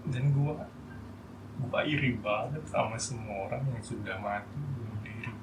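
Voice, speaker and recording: Over music in the background, a man speaks at a medium pitch and a fairly slow pace, with fairly even intonation. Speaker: medical doctor. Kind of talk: personal vlog talk to camera about suicide attempt. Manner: hesitant, not loud or clear.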